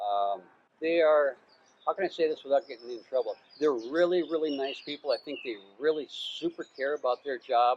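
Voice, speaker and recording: With an American accent, a man talks at a moderate pace in a fairly high pitch with ordinary variation, recorded with a dry, close sound and no echo. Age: 60s. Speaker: expat YouTuber. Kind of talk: casual chat. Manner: halting, many fillers and repeats.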